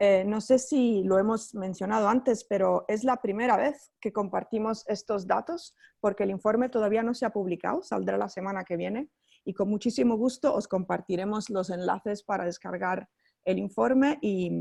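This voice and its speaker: Speaking at a moderate pace, a woman with a non-native accent has a dark, mellow tone. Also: medium pitch for a woman, ordinary pitch variation. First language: not Spanish (speaking Spanish). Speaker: NGO researcher. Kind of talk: webinar presentation. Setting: online webinar. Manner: halting, many fillers.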